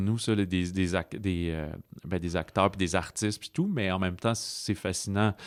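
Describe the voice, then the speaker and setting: Fairly low in pitch with ordinary pitch variation, a man talks at a moderate pace. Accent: Quebec. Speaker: film podcast host. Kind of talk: casual film review chat.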